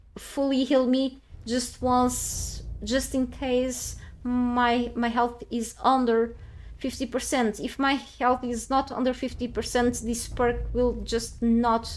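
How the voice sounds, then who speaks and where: A woman's high-pitched voice with a non-native accent, flat and monotone, at a very slow pace. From Portugal. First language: Portuguese. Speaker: video game streamer. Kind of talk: live game stream commentary. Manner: halting, many fillers and restarts.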